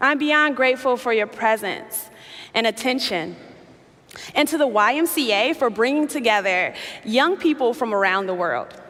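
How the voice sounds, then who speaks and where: A woman's high voice in an American accent, lively in intonation and very even in loudness, at a moderate pace amid noticeable background noise. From Chicago, US Midwest. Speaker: activist and keynote speaker. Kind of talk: keynote speech. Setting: stage with audience.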